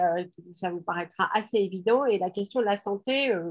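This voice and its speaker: At a moderate pace, a woman talks at medium pitch with ordinary pitch variation in a very clean recording with a silent background. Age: 60s. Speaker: parliamentary candidate, emergency doctor. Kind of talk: press conference presentation. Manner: halting, many hesitations.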